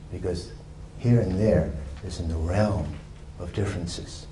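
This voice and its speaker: At a fairly slow pace with long, frequent pauses, a man talks in a very deep, low pitch and fairly even intonation, with noticeable background noise and audible room echo. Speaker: Taoist teacher and doctor. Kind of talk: dharma talk to a meditation group.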